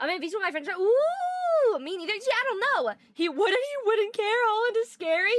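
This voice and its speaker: With an extremely high pitch, a woman talks in an animated tone with lively intonation and hardly any pauses. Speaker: streamer. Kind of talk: live stream chat reading. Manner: fast.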